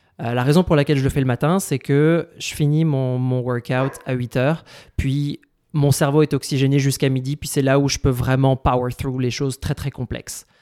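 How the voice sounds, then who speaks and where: A man talks in a medium pitch with a dark, mellow tone and monotone, flat intonation. The sound is dry and close, without echo. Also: moderate pace. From France. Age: 30s. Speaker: healthcare company executive. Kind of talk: casual chat.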